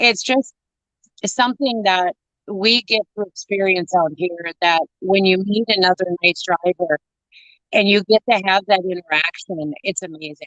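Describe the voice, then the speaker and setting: Her tone is animated, with a medium pitch and an American accent. This woman talks at a fairly slow pace, and the sound is dry and close with no echo. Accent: Minnesota accent, stronger around northerners. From northern Minnesota. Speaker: truck driver and show co-host. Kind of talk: casual chat.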